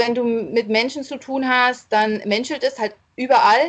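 Her voice sits high for a woman. The woman keeps her intonation fairly even. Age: 30s. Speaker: legal department assistant. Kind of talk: podcast interview.

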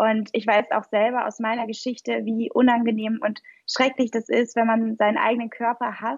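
Woman's voice, fairly high in pitch, monotone and flat, at a moderate pace. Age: 20s. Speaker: physician, nutrition coach and founder. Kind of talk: interview conversation.

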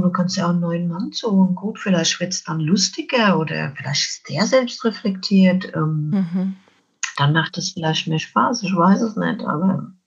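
A somewhat breathy woman's voice at a medium pitch, with ordinary pitch variation and a moderate pace. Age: 50s. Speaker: children's book author and donkey coach. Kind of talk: interview about life story.

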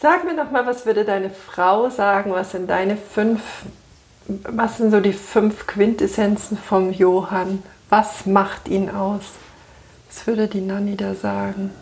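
The words come at a very slow pace. The intonation remains fairly even throughout. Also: woman, medium pitch for a woman. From Bavaria, Munich. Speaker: podcast host and coach. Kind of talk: casual interview. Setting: on a couch in a bookshop.

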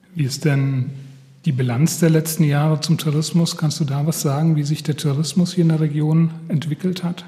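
Monotone, flat intonation from a man with a fairly high pitch at a moderate pace, amid noticeable background noise. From Hesse. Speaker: podcast host. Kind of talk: interview. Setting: on location.

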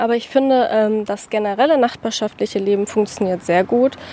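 A woman talks at a moderate pace in a medium pitch with ordinary pitch variation. Her tone is dark and mellow. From Hamburg-Wilhelmsburg, Germany. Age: 20s. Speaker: university student, local neighbourhood guide. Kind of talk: interview on a walk. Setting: outdoors on a neighbourhood walk.

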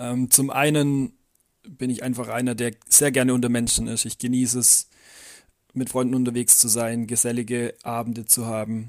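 Speaking in a Swabian accent, a man keeps a moderate pace and medium pitch. His intonation is monotone and flat. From Swabia, near Calw. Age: 20s. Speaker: trainee teacher. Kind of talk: interview.

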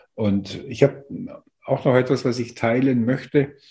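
The voice is somewhat breathy, with ordinary pitch variation. It moves at a very slow pace. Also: man. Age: 50s. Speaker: co-author of an anthology. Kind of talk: interview. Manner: halting, many fillers.

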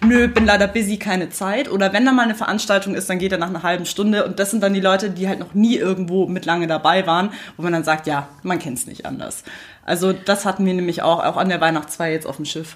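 The speech comes at a very fast pace. Its pitch variation is ordinary. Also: woman, medium pitch for a woman. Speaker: podcast co-host. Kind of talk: casual chat. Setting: studio.

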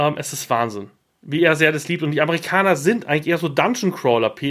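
Animated and full of lively intonation, a man speaks at a fairly high pitch. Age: 30s. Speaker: podcast host. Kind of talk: casual chat.

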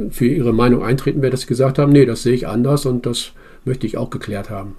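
A man talks at a very fast pace in a medium-pitched, somewhat breathy voice with a dark, mellow tone. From Bremen, northern Germany. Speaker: citizens' assembly member. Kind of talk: interview. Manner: halting.

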